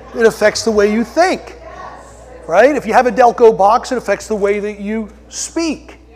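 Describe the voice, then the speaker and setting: Over noticeable background noise, a man speaks at a moderate pace in a high pitch. His loudness swings widely, while his pitch varies in an ordinary way. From Delaware County, Pennsylvania (Philadelphia area). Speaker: pastor. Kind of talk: sermon.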